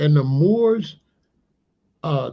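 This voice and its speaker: A man speaks with lively, bouncing intonation. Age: 60s. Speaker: history channel host. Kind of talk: livestream commentary. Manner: animated.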